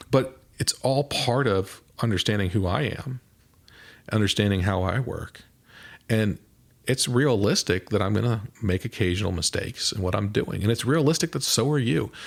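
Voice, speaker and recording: Someone with a Midwestern US accent speaks at a moderate pace with ordinary pitch variation, in a very clean recording with a silent background. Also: man, fairly low pitch for a man. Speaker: mental performance coach, podcast host. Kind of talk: podcast monologue. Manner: casual, conversational with occasional stumbles.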